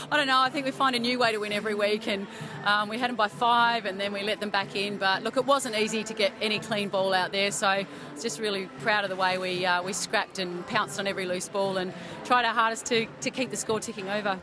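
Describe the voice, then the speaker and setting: A woman speaks at a very fast pace with ordinary pitch variation, the sound dry with no echo yet carrying noticeable background noise. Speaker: team coach. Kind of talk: interview answer. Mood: pleased, upbeat after win. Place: hall. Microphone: handheld.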